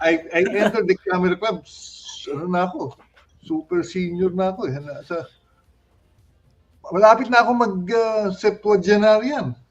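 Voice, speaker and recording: Music plays in the background as the voice shows big swings in loudness and lively intonation. It holds a moderate pace with long, frequent pauses. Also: man, high pitch for a man. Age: 60s. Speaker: photography club member. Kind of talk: casual chat. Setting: live stream talk show. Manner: halting.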